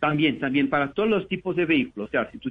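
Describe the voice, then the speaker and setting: A man speaks with a Portuguese accent. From Brazil, São Paulo. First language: Portuguese (speaking Spanish). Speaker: business manager. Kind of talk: interview.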